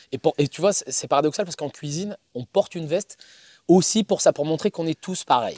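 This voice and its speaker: Big swings in loudness at a fairly quick pace, in a dry, close sound with no echo. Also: man, high pitch for a man, ordinary pitch variation. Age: 40s. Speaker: chef and pizza maker. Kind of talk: casual interview. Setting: outdoors in the woods.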